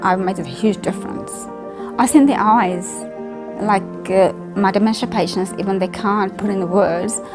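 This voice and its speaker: Fairly quick speech over clear background music. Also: woman. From Fiji. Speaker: elderly care worker. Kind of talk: interview answer. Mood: warm, heartfelt. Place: home room.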